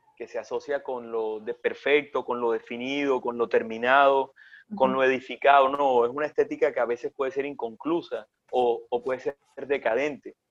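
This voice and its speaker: A man at a moderate pace, in a dry, close sound with no echo. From Colombian Caribbean coast (Sincelejo, Córdoba). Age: 40s. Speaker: chef. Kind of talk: interview conversation.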